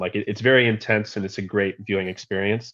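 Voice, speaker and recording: Delivered at a very fast pace, the speech comes in an American accent with monotone, flat intonation. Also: man. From USA. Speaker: football podcast panelist. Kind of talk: casual chat.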